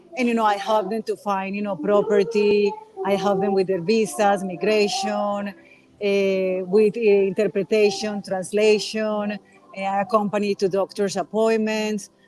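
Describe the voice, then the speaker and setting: Over noticeable background noise, a woman with a Colombian accent speaks at a moderate pace in a monotone, flat intonation. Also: medium pitch for a woman. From Colombia, Medellin. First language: Spanish. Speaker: relocation consultant. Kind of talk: interview. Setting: outdoors.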